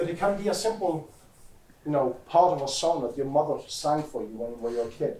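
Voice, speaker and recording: Audible room echo surrounds a man speaking at a fairly high pitch with lively intonation. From Norway, west coast (Haugesund). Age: 40s. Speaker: security expert, conference speaker. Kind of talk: conference talk.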